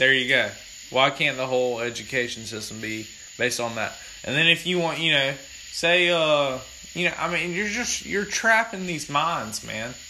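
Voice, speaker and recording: A man talks at a moderate pace with lively intonation and a fairly high pitch. Noticeable background noise runs behind him. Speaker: podcast host. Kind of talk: casual chat. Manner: loud.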